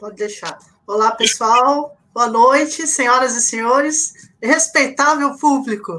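This woman's voice is high-pitched, bright and sharp, raised and projected, with ordinary pitch variation. She speaks at a very slow pace, and her loudness swings widely. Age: 50s. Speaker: miniature figure painter, civil engineer. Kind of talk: live stream interview.

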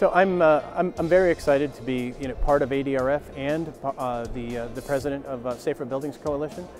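Clear music plays in the background as a man speaks at a moderate pace with ordinary pitch variation, in a dry sound with no echo. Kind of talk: interview answer. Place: hall.

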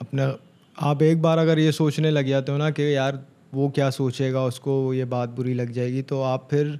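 At a fairly slow pace, a man with a dark, mellow tone speaks fairly high for a man in a monotone, flat intonation. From Karachi, Pakistan. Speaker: rapper; podcast guest. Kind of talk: casual interview. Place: studio. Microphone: studio mic.

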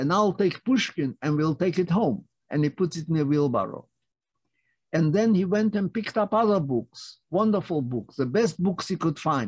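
A man's high voice with lively intonation, at a moderate pace, over a quiet background. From Lithuania. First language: Yiddish. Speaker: Holocaust survivor speaker. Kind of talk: testimony. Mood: earnest, animated storytelling. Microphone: video call.

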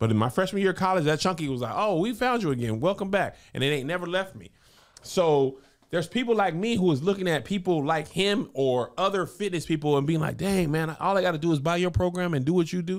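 A man talks at a very fast pace with a high pitch and lively intonation. His tone is animated, and the background is quiet. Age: 40s. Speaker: comedian and podcast host; podcast co-host. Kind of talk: casual chat. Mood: playful, joking. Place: studio. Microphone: studio mic.

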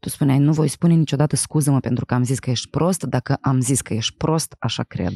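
A woman's very deep, low voice with a dark, mellow tone and ordinary pitch variation, at a fairly quick pace with hardly any pauses, in dry sound with no echo. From Moldova, Chișinău; Moldova. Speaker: podcast host and actress; podcast host. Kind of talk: casual interview. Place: studio. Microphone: studio mic.

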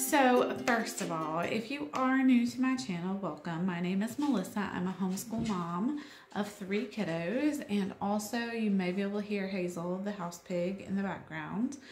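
Room echo is audible as a woman talks at a moderate pace with hardly any pauses. Light background noise is present. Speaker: homeschool mom vlogger. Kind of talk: casual vlog chat. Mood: friendly, lighthearted. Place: home room. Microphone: phone near.

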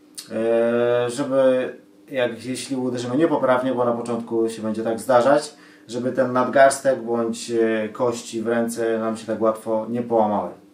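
With audible room echo around him, a man speaks at a moderate pace in a monotone, flat intonation. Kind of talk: tutorial. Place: home room. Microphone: camera far.

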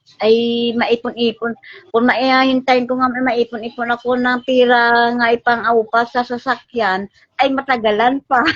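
In a dry, close sound with no echo, a woman talks at a high pitch with monotone, flat intonation. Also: moderate pace. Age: 60s. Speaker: mother appealing for help. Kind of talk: tearful appeal.

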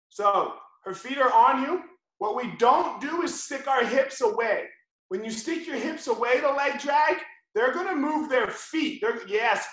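An extremely high-pitched man at a fairly slow pace with lively intonation, over a quiet background with audible room echo. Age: 40s. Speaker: jiu-jitsu instructor. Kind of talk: tutorial. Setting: video call. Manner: animated. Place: home room. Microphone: video call.

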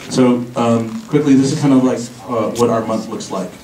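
Audible room echo and light background noise accompany a man speaking at a moderate pace with fairly even intonation. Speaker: tech meetup organizer. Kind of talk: event presentation. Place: hall.

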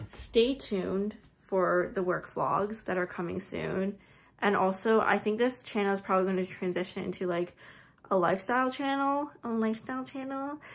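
Ordinary pitch variation and a moderate pace from a woman. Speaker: vlogger. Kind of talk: casual vlog chat. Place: home room. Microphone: phone near.

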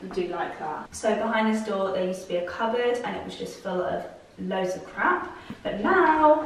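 A woman talks at a moderate pace, her pitch swinging very widely. Audible room echo and light background noise accompany her. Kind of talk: casual vlog chat. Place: home room.

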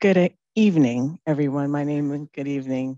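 A woman talks at a low pitch and a moderate pace, her pitch moving in an ordinary way. Her tone is dark and mellow, and the sound is dry and close with no echo.

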